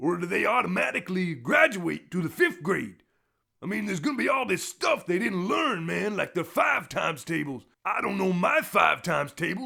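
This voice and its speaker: A man performs a put-on character voice, raised and projected, in a high pitch with very wide pitch swings. The recording is very clean with a silent background. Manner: laid-back.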